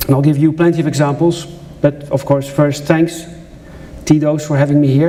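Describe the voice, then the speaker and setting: Speaking with a Dutch accent, a man with a fairly high voice talks at a fairly quick pace in a monotone, flat intonation, with audible room echo and noticeable background noise. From Netherlands. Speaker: journalist and conference speaker. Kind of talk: conference talk. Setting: stage with audience.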